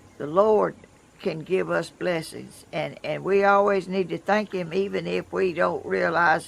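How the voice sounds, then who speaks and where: A woman's fairly slow speech in a Southern US accent. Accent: Southern US (Georgia). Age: 80s+. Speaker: vlogger. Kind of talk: casual chat. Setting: outdoors. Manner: halting.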